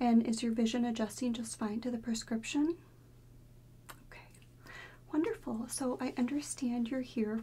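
Soft-spoken, a woman talks with fairly even intonation and long, frequent pauses. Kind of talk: soft-spoken roleplay. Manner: soft, gentle ASMR-style speaking. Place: home room.

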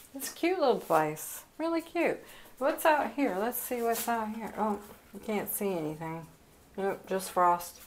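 A woman talks at a fairly slow pace with very wide pitch swings and big swings in loudness. Light background noise can be heard. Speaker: vlogger. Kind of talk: casual vlog narration. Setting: outdoors at a cottage. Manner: animated. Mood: cheerful, pleased. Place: home room. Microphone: phone near.

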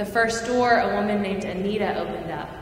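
With audible room echo, a woman speaks with ordinary pitch variation. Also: medium pitch for a woman, fairly quick pace.

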